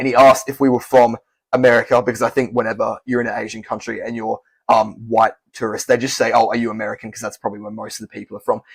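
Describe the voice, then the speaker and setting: A man with an Australian accent, very fast pace, flat monotone intonation, big swings in loudness and a dry, close sound with no echo. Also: medium pitch for a man. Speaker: language-learning youtuber. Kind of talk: casual vlog talk. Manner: conversational with fillers.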